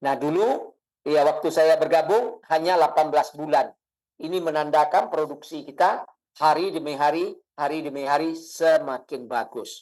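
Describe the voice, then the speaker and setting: A man speaks in a plain, everyday voice at a fairly high pitch. His pace is moderate, with ordinary pitch variation. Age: 60s. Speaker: product distributor presenter. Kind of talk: sales pitch.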